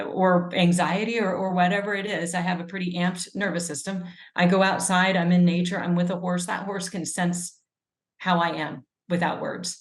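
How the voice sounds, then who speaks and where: Flat and monotone, a woman with an American accent speaks at a moderate pace. Her fairly low pitch comes with a somewhat breathy sound. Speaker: epidemiologist and author. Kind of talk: interview conversation.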